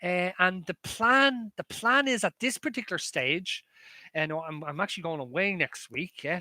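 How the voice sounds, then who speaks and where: Raising and projecting his voice, a man with an Irish accent speaks at a high pitch with a bright, sharp tone and lively intonation. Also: dry, close sound with no echo. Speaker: maths lecturer. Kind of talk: live stream chat with viewers; online lecture. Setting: live stream. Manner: fast; halting.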